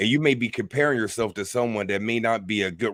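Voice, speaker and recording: In a plain, everyday voice with an American accent, a man talks at a fairly quick pace with a fairly low pitch and ordinary pitch variation, on a very clean recording with a silent background. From United States. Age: 40s. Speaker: spiritual teacher. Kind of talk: interview. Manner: casual.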